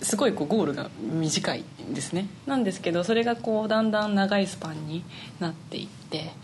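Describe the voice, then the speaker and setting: A woman talks at a fairly quick pace amid noticeable background noise and audible room echo. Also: medium pitch for a woman, lively intonation. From Niigata, Japan (Tsubame). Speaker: flute player. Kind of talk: interview.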